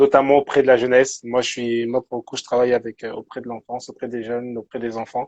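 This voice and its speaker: A man speaks at a fairly quick pace in a flat, monotone delivery. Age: 20s. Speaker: youth pastor and social worker. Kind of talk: casual interview chat. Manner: halting, many repetitions.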